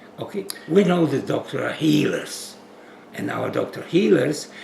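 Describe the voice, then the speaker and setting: A man speaks with a Polish accent at a fairly slow pace. Audible room echo and noticeable background noise surround him. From Poland. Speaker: physician. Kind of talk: interview. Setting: at home.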